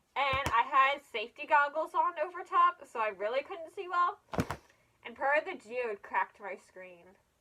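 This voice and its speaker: The voice is raised and projected, with an animated tone. Pitch swings very widely and loudness rises and falls sharply. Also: woman, high pitch for a woman, moderate pace. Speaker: fursuit maker, video creator. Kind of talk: casual video vlog.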